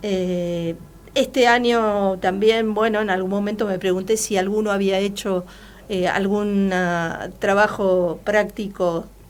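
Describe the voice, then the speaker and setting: A very slow pace with fairly even intonation. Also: woman. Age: 60s. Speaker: journalist and university teacher. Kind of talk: interview. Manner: hesitant, many fillers.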